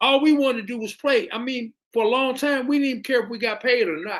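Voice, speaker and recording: A man with an American accent, extremely high-pitched, bright and sharp in tone, raised and projected, at a fairly quick pace, on a very clean recording with a silent background. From Indianapolis, Indiana, US Midwest. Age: 60s. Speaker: musician and producer, caller. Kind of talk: casual chat.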